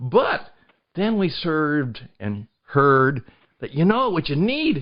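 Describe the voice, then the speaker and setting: A man with a fairly high pitch talks at a very slow pace. His pitch swings very widely. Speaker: podcast producer and host. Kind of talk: podcast interview host talk.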